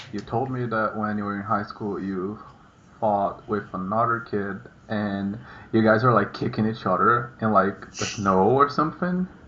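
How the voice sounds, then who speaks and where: Bright and sharp in tone, a man with a Portuguese accent speaks in a fairly low pitch. His pace is moderate. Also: ordinary pitch variation. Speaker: vlogger. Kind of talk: casual chat. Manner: halting.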